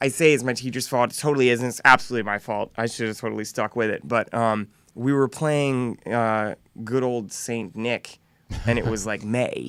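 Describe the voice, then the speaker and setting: A man with an American accent holds a medium pitch and keeps his intonation fairly even. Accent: slight Southern drawl, mostly hidden. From US South, North Carolina. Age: 30s. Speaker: musician. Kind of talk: interview.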